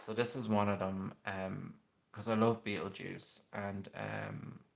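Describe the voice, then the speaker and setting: A man with an Irish accent speaks at a very slow pace. His pitch is fairly low and his intonation is monotone and flat. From Ireland, Westmeath. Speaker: paranormal youtuber. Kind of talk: casual livestream chat. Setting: live stream at home, late night.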